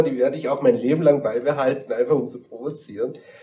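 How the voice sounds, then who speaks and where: Using a plain, everyday voice, a man talks at a fairly quick pace with lively intonation. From Bavarian Swabia, Dillingen district. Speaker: guest. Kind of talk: casual chat. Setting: studio.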